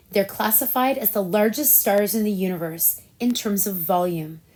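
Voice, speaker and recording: A woman speaks in a plain, everyday voice at a moderate pace and medium pitch with ordinary pitch variation. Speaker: nail polish reviewer. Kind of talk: casual talk to camera.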